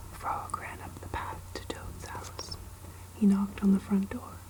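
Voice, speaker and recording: Whispering, a soft-spoken woman talks at a very slow pace. Background noise is noticeable. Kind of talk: children's book reading. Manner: soft-spoken, whispered.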